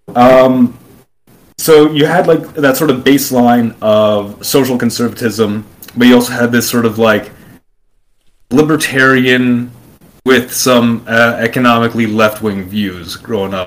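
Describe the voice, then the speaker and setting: An ordinary speaking voice with an American accent moves at a fairly slow pace with ordinary pitch variation. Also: man, medium pitch for a man. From Brooklyn, New York. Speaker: YouTuber on alternate history and politics. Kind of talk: long-form interview conversation.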